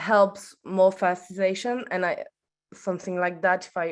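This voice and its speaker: Against a quiet background, a woman with a French accent speaks at medium pitch and moderate pace in a monotone, flat intonation. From France. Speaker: audience member asking a question. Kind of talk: Q&A question at an online workshop. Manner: halting, hesitant.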